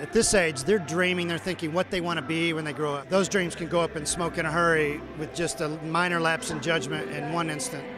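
A man speaks at a high pitch with ordinary pitch variation and hardly any pauses. The sound is dry with no echo, and background noise is noticeable. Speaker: interviewee. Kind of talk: interview answer. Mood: earnest, serious. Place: hall. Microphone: handheld.

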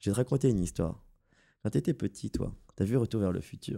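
In a Parisian accent, a man with a fairly low, dark, mellow voice speaks at a fairly quick pace with ordinary pitch variation in a very clean recording with a silent background. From France, Paris. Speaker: graphic designer in game business development. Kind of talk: casual podcast discussion.

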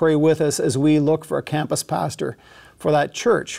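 The speech moves at a moderate pace over a quiet background. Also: man. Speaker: pastor. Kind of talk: church announcements before sermon. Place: studio. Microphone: lapel.

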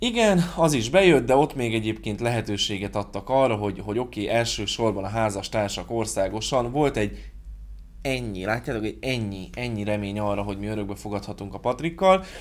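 A man speaks at a fairly quick pace with a fairly low pitch and ordinary pitch variation. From Hungary. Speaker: YouTuber. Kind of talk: vlog monologue. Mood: sarcastic, critical. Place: home room.

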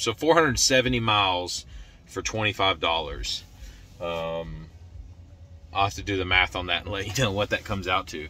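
A man talks in a normal speaking voice at a fairly quick pace, with lively intonation and a dry sound that has no echo. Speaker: road trip vlogger. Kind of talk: casual vlog chat. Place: car. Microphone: phone near.

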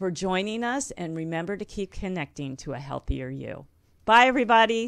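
Against a quiet background, a woman speaks at a moderate pace with lively intonation. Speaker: health and wellness show host; wellness show host. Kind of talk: live radio interview. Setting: studio. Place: studio. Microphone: studio mic.

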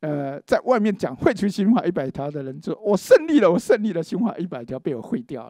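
Quiet and dry with no echo, a man's dark, mellow voice is pitched high, moving at a moderate pace with very wide pitch swings and big swings in loudness. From Taiwan. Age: 60s. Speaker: law professor and forum host; press conference host or speaker. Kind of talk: panel discussion speech. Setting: legislature meeting room. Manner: halting with many fillers. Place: meeting room. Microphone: handheld.

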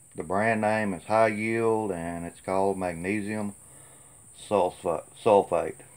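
At a very slow pace, a man with a Tennessee accent speaks in a fairly low pitch and a relaxed tone, monotone and flat but with big swings in loudness. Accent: US Southern (Tennessee). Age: 50s. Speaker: gardener vlogger. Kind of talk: casual vlog talk to camera. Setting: outdoors. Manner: relaxed, folksy with many fillers. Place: farm machine. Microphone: phone near.

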